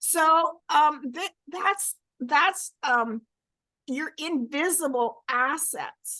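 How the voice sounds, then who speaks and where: A raised, projected voice with a bright, sharp tone and lively intonation over a quiet background. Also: woman. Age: 70s. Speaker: life coach. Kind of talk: interview answer.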